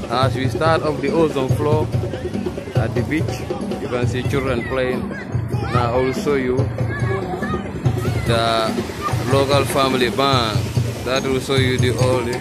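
Music sits in the background as a man speaks fairly slowly with long, frequent pauses, the sound dry with no echo. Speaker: local guide presenting a band. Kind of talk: casual vlog commentary. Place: beach. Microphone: phone near.

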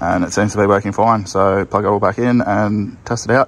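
At a fairly quick pace, a man talks with a fairly low pitch. His intonation is monotone and flat, with light background noise. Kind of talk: tutorial commentary. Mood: relaxed, mildly frustrated. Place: street. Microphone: phone near.

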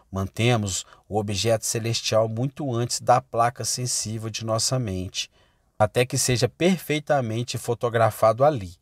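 In a dry, close sound with no echo, an ordinary speaking voice moves at a fairly slow pace. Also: man. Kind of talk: sermon read aloud as audiobook. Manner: solemn, earnest, exhortative; formal, measured.

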